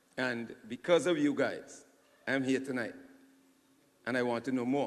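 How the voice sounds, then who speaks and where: A man talks at a moderate pace in a medium pitch. His intonation is fairly even, and the room echo is audible. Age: 50s. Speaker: audience member at town hall. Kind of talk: public Q&A comment. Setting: town hall meeting.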